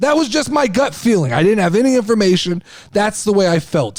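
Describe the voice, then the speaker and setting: Talking at a very fast pace, a man uses a high pitch, very wide pitch swings and an animated tone. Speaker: wrestling podcast host. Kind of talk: casual podcast monologue. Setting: video podcast. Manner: loud, overreactive on air.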